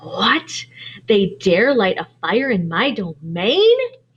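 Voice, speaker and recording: A woman does a put-on character voice at a medium pitch. She speaks very slowly, with a hissing sound. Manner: hissing, jealous anger.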